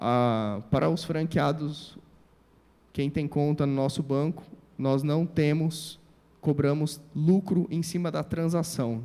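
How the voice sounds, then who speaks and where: A man's dark, mellow voice, fairly high in pitch with ordinary variation, at a very slow pace. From Brazil, Presidente Prudente, São Paulo state. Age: 30s. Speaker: civil engineer and entrepreneur. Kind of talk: motivational talk.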